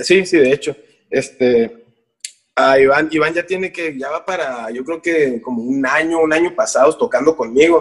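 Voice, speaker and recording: Heard here is an unremarkable speaking voice at a moderate pace with ordinary pitch variation. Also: man, fairly high pitch for a man. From Mexico, Tijuana. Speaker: musician. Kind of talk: casual chat.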